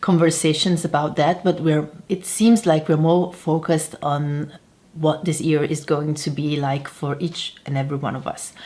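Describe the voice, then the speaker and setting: A woman talks at a fairly slow pace in a very deep, low pitch. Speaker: tarot reader and harpist. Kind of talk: casual talk to camera.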